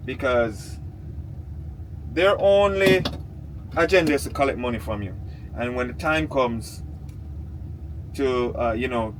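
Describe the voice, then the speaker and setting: Over audible room echo, a man with a medium pitch sounds animated, his pitch swinging very widely. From Jamaica. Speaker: vlogger. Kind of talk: casual vlog monologue. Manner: animated, repetitive stammering.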